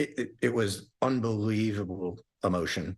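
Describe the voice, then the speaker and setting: In a very clean recording with a silent background, a man talks in a normal speaking voice at a fairly low pitch with ordinary pitch variation. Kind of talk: interview answer.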